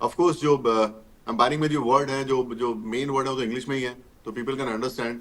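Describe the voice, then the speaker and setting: With a mid-range pitch, the man keeps his intonation fairly even. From India, Haryana belt village. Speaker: retired cricket umpire and commentator. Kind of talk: interview.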